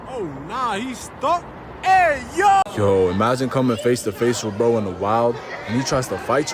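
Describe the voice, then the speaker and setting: At a moderate pace, this man talks through noticeable background noise. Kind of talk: comedic voiceover narration of animal videos. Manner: energetic, loud, excitable.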